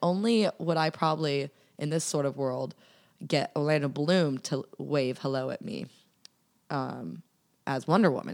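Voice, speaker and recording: Recorded very cleanly against a silent background, a woman speaks at a moderate pace with an American accent. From US Southwest and California/Texas. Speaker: podcast guest. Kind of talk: casual chat.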